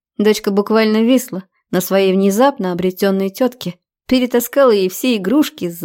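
Ordinary pitch variation in a natural reading voice, quiet in the background.

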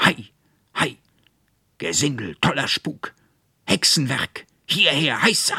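A man's put-on character voice, raised and projected into shouting, raspy and fairly high in pitch, with very wide pitch swings, a fairly slow pace and long, frequent pauses. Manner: shouting, commanding.

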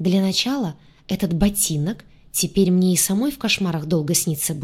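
Ordinary pitch variation within a natural reading voice.

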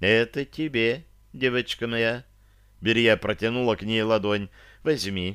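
The delivery is plain reading aloud, its intonation staying fairly flat.

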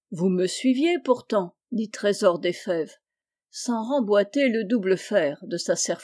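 This is plain reading aloud with lively intonation against a quiet background.

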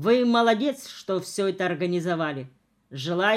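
An unforced reading voice moves with ordinary pitch variation against a quiet background.

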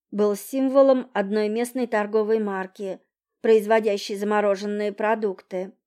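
Someone plainly reads aloud, the intonation fairly level. All around is quiet.

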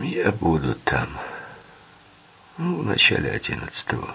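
A man speaks softly in a put-on character voice, low-pitched with a husky, rough edge and vocal fry. His pace is fairly slow, and his pitch swings very widely.

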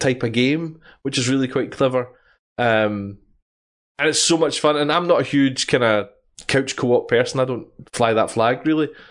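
Against a quiet background, a man with a Scottish accent talks at a moderate pace in a medium-pitched voice with ordinary pitch variation. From Scotland. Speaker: podcast host. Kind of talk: casual chat. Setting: live stream.

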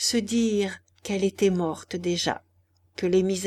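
The speaker reads from a text. It is an unforced reading voice.

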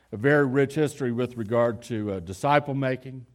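A man with a normal speaking voice, ordinary pitch variation and a moderate pace, in a very clean recording with a silent background. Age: 50s. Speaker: pastor. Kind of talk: sermon. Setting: church.

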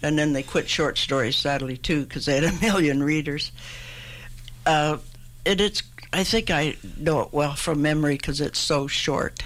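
A woman with a Canadian accent speaks at a very deep, low pitch. She leaves long, frequent pauses. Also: ordinary pitch variation, moderate pace. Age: 80s+. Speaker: poet. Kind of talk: interview with poetry readings. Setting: radio studio.

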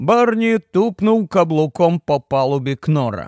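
A slightly mellow voice with lively intonation at a fairly slow pace, the sound dry and close with no echo. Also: man, fairly high pitch for a man.

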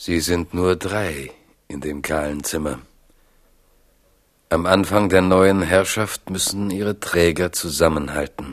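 A man speaks at a slow pace in a low voice. His pitch varies in an ordinary way.

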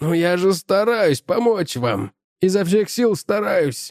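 A raspy, wheezy put-on character voice from a man, high-pitched and fairly slow. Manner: plaintive.

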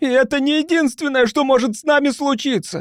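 Using a put-on character voice, a man talks at a fairly quick pace in a hoarse, extremely high pitch.

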